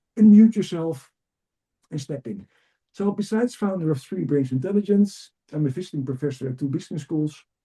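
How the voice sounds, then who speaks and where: A man's fairly high, somewhat breathy voice with a Dutch accent, dark and mellow in tone, at a fairly quick pace with lively intonation. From Netherlands. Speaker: executive coach and trainer. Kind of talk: webinar presentation. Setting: video call webinar. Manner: energetic, enthusiastic; fast.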